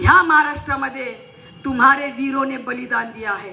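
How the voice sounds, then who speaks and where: A woman speaks at a high pitch in a passionate tone. Noticeable background noise is present. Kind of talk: fiery public political-religious rally speech. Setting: stage with PA system before a large crowd. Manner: forceful, passionate, rousing, loud.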